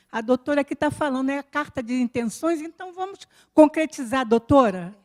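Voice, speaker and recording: This woman's high voice goes through big swings in loudness at a moderate pace. The sound is dry and close, with no echo. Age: 70s. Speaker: audience member. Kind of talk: audience comment. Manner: impassioned.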